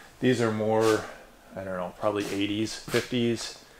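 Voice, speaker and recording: A man keeps a moderate pace while noticeable background noise carries on beneath him. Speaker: house tour host. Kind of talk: casual vlog chat. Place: empty room. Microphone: phone near.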